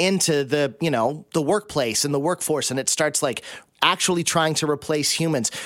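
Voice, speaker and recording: Here is a man with a normal speaking voice and a fairly high pitch. His pitch varies in an ordinary way. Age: 40s. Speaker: guest radio host. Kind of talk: radio interview. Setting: radio studio.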